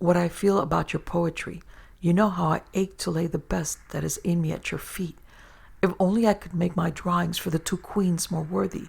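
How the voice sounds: A shaky put-on character voice at a middle pitch and moderate pace.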